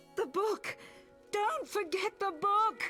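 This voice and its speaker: An extremely high, put-on character voice plays over clear music in the background. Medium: game stream. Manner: urgent.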